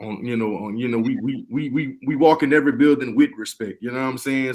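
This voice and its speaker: A man's medium-pitched voice at a very fast pace. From Louisiana, Lafayette. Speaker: music producer. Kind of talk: casual chat.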